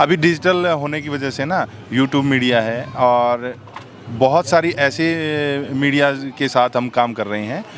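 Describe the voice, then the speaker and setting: Spoken with a Haryanvi accent and ordinary pitch variation, the clip carries noticeable background noise. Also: man. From Haryana, India. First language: Haryanvi (speaking Hindi). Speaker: folk singer. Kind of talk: interview. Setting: backstage after a performance. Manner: hesitant, many filler sounds.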